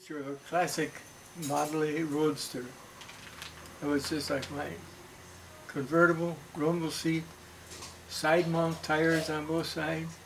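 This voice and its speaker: Over noticeable background noise, a man with a fairly high pitch speaks in a monotone, flat intonation at a fairly slow pace with long, frequent pauses. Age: 80s+. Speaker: storyteller. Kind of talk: family storytelling, reminiscing.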